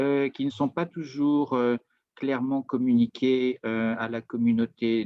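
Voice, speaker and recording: Speaking very slowly, a man with a Parisian accent talks at a medium pitch. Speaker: business consultant presenting on Japanese market. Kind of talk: webinar presentation. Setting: video call webinar.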